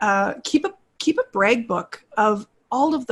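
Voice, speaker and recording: A woman speaks in a somewhat breathy, fairly high-pitched voice. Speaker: instructional design business owner and voice narrator. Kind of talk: casual chat. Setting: video call.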